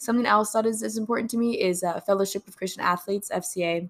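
On a very clean recording with a silent background, a woman with an American accent talks very fast in an animated tone with ordinary pitch variation. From Texas Gulf Coast. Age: 20s. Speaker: podcast host, college student. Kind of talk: faith podcast monologue. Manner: animated, giggly; hesitant with fillers.

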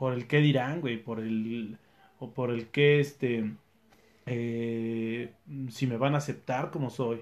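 A man with a Mexican accent and a medium pitch speaks very slowly with fairly even intonation. He leaves long, frequent pauses. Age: 30s. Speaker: sales manager and trail runner. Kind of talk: casual interview.

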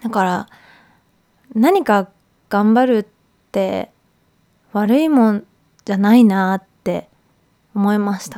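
At a very slow pace, a woman speaks at medium pitch with a dark, mellow tone and ordinary pitch variation. Long, frequent pauses and big swings in loudness mark her delivery. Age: 30s. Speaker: podcast host. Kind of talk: casual monologue.

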